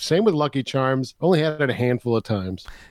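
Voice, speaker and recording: In an American accent, a man with an unremarkable speaking voice and a medium pitch talks at a fairly quick pace with lively intonation. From US Northeast (New York State). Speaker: podcast host, guest. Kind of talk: casual chat. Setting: remote call.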